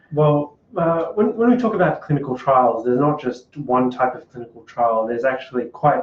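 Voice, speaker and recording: Talking at a moderate pace, the man has an Australian accent. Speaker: podcast co-host, clinical trials worker. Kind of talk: casual podcast chat.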